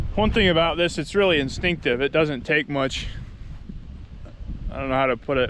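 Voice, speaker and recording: A man talks fairly quickly with noticeable background noise behind him. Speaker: hunting vlogger. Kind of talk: casual vlog narration. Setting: outdoors.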